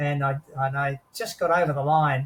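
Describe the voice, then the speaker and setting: Somewhat breathy and fairly high in pitch, a man speaks at a moderate pace with fairly even intonation and an Australian accent. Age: 80s+. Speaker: war veteran. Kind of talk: interview answer.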